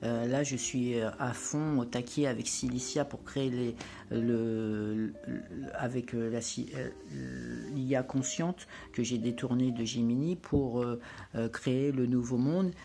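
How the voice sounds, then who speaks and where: With music in the background, a woman speaks at a very slow pace in a very deep, low voice with ordinary pitch variation. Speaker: spiritual lifestyle vlogger. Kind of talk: casual vlog monologue. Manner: hesitant, many fillers.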